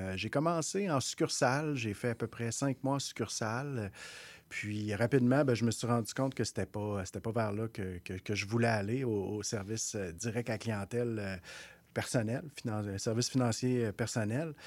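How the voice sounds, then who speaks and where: At a moderate pace, a man speaks at medium pitch with ordinary pitch variation on a very clean recording with a silent background. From Quebec North Shore, Innu community. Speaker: executive director of a First Nations economic development organization. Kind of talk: radio interview. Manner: halting, many repetitions.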